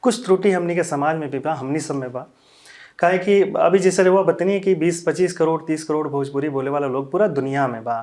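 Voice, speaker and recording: With a Bihari accent, a man speaks at a fairly high pitch with ordinary pitch variation. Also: moderate pace. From Siwan, Bihar, India. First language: Bhojpuri (speaking Hindi). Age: young. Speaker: Bhojpuri ghazal singer. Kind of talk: interview.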